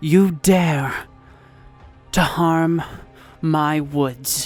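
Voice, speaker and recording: A put-on character voice at a middle pitch, with faint music in the background. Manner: threatening.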